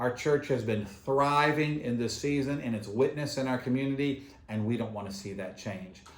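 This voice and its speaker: A man speaks at a medium pitch with audible room echo around him. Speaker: pastor. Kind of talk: church video announcements. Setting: filmed on camera at church. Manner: fast.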